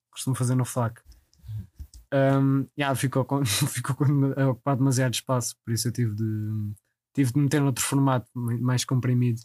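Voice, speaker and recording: A man with a European Portuguese accent speaks at a medium pitch and moderate pace, with monotone, flat intonation and very even loudness. Long, frequent pauses break his speech, and the sound is dry and close with no echo. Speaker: podcast host. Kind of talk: casual chat.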